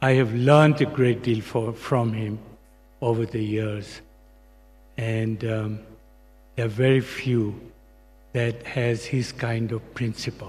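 In a somewhat breathy, flat monotone, the speaker goes very slowly, with long, frequent pauses. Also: man, medium pitch for a man. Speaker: longtime family friend. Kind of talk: eulogy with light anecdotes. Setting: church memorial service. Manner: warm, fond, laughing. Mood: warm, fond remembrance. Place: hall. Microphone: podium.

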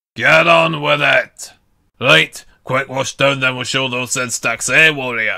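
Doing a put-on character voice, a man sounds raspy at a medium pitch. His delivery is fairly slow.

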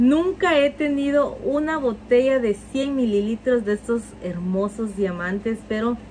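Over noticeable background noise, a woman with a fairly high voice talks in an animated tone with lively intonation and hardly any pauses. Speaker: perfume reviewer. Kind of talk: product review.

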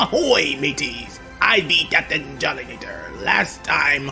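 Over clear music in the background, a man performs in a put-on character voice. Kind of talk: exaggerated pirate speech. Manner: theatrical, hammy.

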